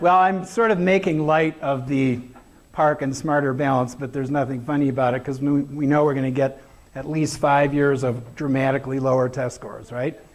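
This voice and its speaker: A man speaks at a fairly quick pace, his intonation fairly even. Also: fairly high pitch for a man. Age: 60s. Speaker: education speaker. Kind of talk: conference talk with slides. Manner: casual, hesitant with fillers.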